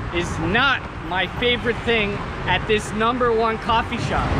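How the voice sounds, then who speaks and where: The background noise is loud. Through it, a man speaks at a fairly slow pace. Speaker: local vlogger reviewing cafe. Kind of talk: casual vlog chat. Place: street. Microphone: phone near.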